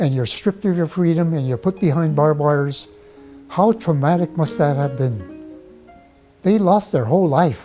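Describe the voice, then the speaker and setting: A man with an American accent speaks at a moderate pace with lively intonation. Music plays in the background. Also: fairly high pitch for a man. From Portland, Oregon, USA. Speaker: Japanese American incarceration survivor. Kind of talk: interview answer.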